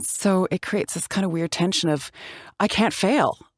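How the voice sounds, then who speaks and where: With a Canadian accent, a woman talks in a normal speaking voice at medium pitch and moderate pace with ordinary pitch variation, captured in a very clean, dry, close recording with a silent background and no echo. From Canada, Calgary, Alberta. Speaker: actor. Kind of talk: interview. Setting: podcast.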